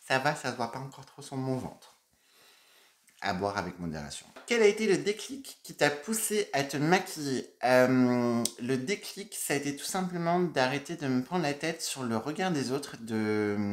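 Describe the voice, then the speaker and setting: Speaking at a fairly slow pace with a Burgundy accent, a man with a fairly high pitch shows very wide pitch swings and big swings in loudness. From Burgundy, France (Dijon). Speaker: makeup YouTuber. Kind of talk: casual Q&A vlog.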